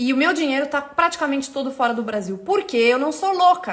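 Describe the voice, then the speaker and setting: The tone is energetic. Pitch swings very widely. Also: woman. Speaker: economist, teacher. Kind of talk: live stream talk. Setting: live stream. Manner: fast.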